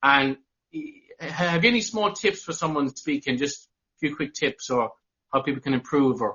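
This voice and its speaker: With an Irish accent and lively intonation, a man speaks at a moderate pace in a fairly high pitch. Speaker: podcaster. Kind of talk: interview.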